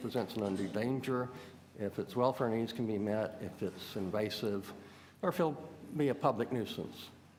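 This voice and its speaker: Fairly quick speech from a man in a space with audible room echo. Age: 60s. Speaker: exotic animal hobbyist. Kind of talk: public deputation to city committee. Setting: city hall committee meeting. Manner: halting, many fillers.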